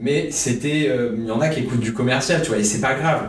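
The speech moves at a fairly quick pace with ordinary pitch variation, audible room echo and noticeable background noise. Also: man. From France, Bordeaux. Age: young. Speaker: web radio co-founder and student. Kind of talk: casual interview.

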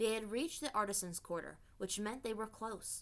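This is a natural reading voice. The text is read aloud.

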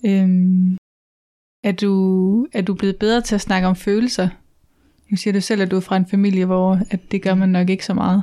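Dry and close with no echo, a woman's medium-pitched voice has a dark, mellow tone, flat monotone intonation and very even loudness. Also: moderate pace. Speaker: podcast host. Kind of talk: interview. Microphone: sound problems.

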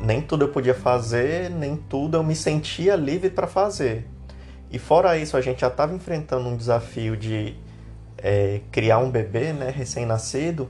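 Somewhat breathy, a man speaks at a moderate pace with a medium pitch and lively intonation. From Brazil, Minas Gerais (Uberaba). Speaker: podcast co-host. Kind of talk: casual chat.

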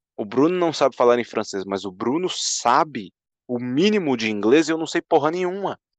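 A man at a moderate pace, animated in tone, with very wide pitch swings. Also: fairly high pitch for a man. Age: 20s. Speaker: podcast co-host. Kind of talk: casual chat.

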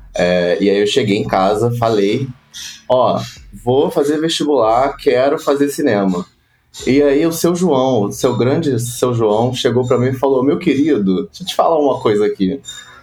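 At medium pitch, a man talks at a moderate pace with lively intonation in a normal speaking voice. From Rio de Janeiro, Brazil (West Zone). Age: 20s. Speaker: advertising production professional. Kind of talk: casual interview.

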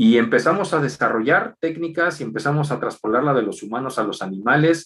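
The speech moves at a fairly quick pace with hardly any pauses and very wide pitch swings. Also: man, fairly high pitch for a man. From Mexico City. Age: 40s. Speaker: equine veterinarian. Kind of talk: interview.

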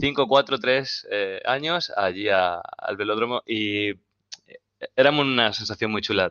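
With lively intonation, a man talks in an unremarkable speaking voice at a medium pitch. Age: 20s. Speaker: basketball coach and club founder. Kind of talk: casual chat.

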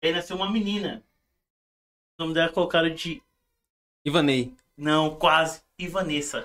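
A man's high-pitched voice at a moderate pace, bright and sharp in tone, with fairly even intonation and long, frequent pauses. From Brazil, moved from Paraíba as a baby. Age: 30s. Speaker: church musician. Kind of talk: casual chat.

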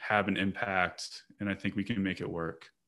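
A man with an American accent and a normal speaking voice, fairly low in pitch with fairly even intonation, on a very clean recording with a silent background. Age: 30s. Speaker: parks professional, podcast co-host. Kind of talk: casual chat.

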